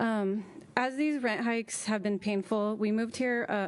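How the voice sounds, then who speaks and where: A normal speaking voice with fairly even intonation moves at a moderate pace over a quiet background. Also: woman. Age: young. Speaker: resident speaking at public comment. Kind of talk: public comment at council meeting. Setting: city council meeting.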